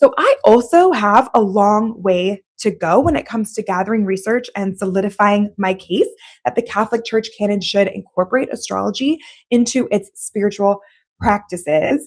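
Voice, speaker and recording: An unremarkable speaking voice keeps a moderate pace, its pitch varying in an ordinary way. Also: woman, medium pitch for a woman. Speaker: theologian and doctoral student, former teacher. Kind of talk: live stream monologue. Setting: live stream.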